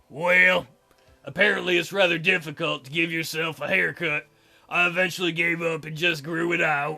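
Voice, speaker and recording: Over faint background music, a man puts on a raspy, high-pitched character voice, speaking at a moderate pace in a monotone, flat intonation. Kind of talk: comic visual-novel voice acting. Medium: solo performance. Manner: hesitant, soft-spoken, courtly phrasing.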